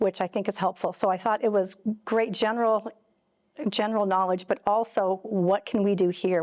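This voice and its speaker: A woman's medium-pitched voice with fairly even intonation, dry and close with no echo, against a quiet background. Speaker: middle school religion teacher. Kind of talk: interview. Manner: fast; halting, many repetitions.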